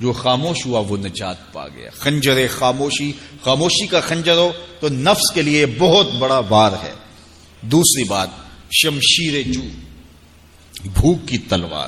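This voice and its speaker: With noticeable background noise behind him, a man with a fairly high pitch speaks with very wide pitch swings and big swings in loudness. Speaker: Islamic scholar giving a sermon. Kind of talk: religious sermon / lecture. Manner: soft-spoken.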